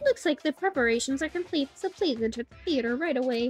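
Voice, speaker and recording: Putting on a character voice, a woman speaks at a very fast pace with a high pitch. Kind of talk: game dialogue read aloud. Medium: virtual streamer. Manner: theatrical.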